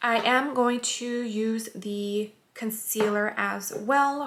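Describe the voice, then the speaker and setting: At a very slow pace, a woman with a fairly high pitch speaks in fairly even intonation. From California, US. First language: Spanish. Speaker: beauty vlogger. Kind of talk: makeup tutorial. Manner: casual, friendly.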